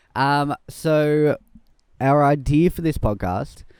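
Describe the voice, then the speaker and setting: On a very clean recording with a silent background, a man talks in an Australian accent. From Melbourne, Australia. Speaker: podcast host and videographer. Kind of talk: casual chat. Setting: outdoors.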